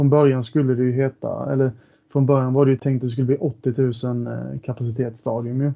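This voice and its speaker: A man talks at a moderate pace with medium pitch and fairly even intonation. It is a plain, everyday voice. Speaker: football supporter. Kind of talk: casual interview chat.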